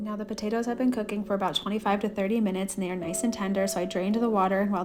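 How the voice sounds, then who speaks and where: Noticeable background noise accompanies a woman talking very fast. Her tone is upbeat and her pitch medium. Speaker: cooking vlogger, mom. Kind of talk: voice-over cooking tutorial.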